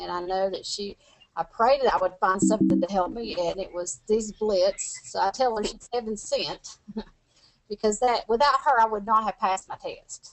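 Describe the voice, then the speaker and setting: Over background music, a woman with a Tennessee accent talks at a moderate pace, her medium pitch showing ordinary variation. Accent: Southern US, Tennessee. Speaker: medical coding student. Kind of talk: interview answer. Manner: energetic, bubbly.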